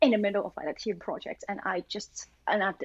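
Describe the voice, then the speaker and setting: A woman with a Chinese accent speaks at a medium pitch in a dry, close sound with no echo and a quiet background. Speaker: machine learning engineer. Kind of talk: casual interview chat. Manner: hesitant, many fillers.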